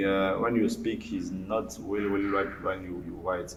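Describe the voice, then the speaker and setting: There is audible room echo as a man speaks at a fairly low pitch. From DR Congo, Mbandaka (Equateur province). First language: Lingala and French. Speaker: writer and lawyer. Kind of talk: interview. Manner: halting, many fillers and repetitions.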